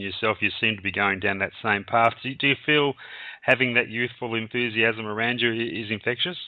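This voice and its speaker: A man with an Australian accent, very fast, with fairly even intonation, over a quiet background. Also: dry sound with no echo. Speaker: radio host. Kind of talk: interview. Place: studio.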